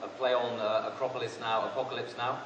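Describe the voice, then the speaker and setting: Recorded with noticeable background noise and audible room echo, a man speaks at a moderate pace with a medium pitch. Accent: British. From Britain. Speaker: economist analyst. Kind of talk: conference presentation.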